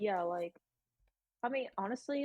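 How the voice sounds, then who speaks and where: A woman with a Californian accent at a very fast pace. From San Francisco Bay Area. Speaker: college student. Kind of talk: casual chat. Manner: stutters a little.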